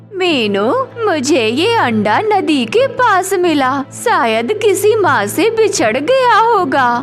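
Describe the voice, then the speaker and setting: In a cartoonish character voice, a woman speaks at an extremely high pitch with very wide pitch swings and a very slow pace over clear music in the background. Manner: sly, scheming.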